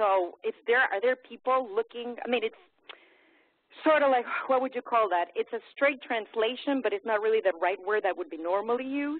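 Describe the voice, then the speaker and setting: This woman has a fairly high pitch. She speaks with a Spanish accent. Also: ordinary pitch variation, moderate pace. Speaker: math faculty participant. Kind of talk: question in webinar. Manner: halting.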